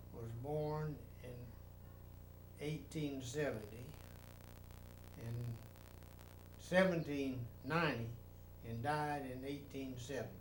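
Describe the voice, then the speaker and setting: With a North Carolina accent and fairly even intonation, a man speaks at a very slow pace with long, frequent pauses, in a room with audible echo. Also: fairly high pitch for a man. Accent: Southern US (North Carolina). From US South, North Carolina. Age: 80s. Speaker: retired army general. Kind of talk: casual family interview.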